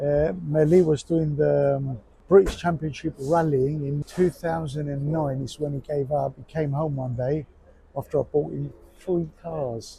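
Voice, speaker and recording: At a moderate pace, a man speaks in a somewhat breathy, dark and mellow voice, fairly high in pitch, with fairly even intonation. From Cyprus. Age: 60s. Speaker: amateur rally driver. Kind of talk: casual interview.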